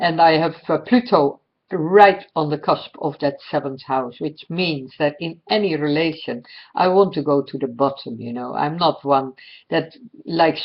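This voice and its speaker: A woman with a Dutch accent, a very deep, low pitch, ordinary pitch variation and a fairly slow pace. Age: 60s. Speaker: astrologer. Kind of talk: personal monologue. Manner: halting, many fillers.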